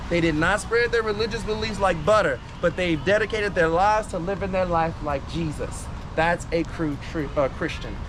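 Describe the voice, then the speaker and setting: An animated man with a high pitch talks at a moderate pace with ordinary pitch variation over noticeable background noise. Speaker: voodoo priest and tour guide. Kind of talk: guided tour talk to a group.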